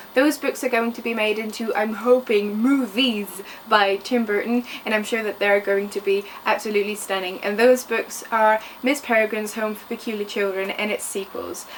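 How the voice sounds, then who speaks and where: A woman with a fairly high voice speaks at a moderate pace. Noticeable background noise runs underneath. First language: French. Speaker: book vlogger. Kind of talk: book review vlog. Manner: enthusiastic.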